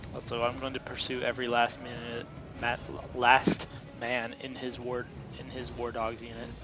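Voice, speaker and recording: Over noticeable background noise, a man with a medium pitch speaks at a moderate pace in a monotone, flat intonation, leaving long, frequent pauses. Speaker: video game tutorial creator. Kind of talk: gameplay tutorial commentary. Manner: halting, many filler uhs.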